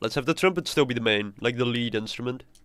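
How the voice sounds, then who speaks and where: The recording has a quiet background and a dry sound with no echo. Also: man. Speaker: composer streamer. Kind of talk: live stream tutorial. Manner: halting, repeats words. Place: home room.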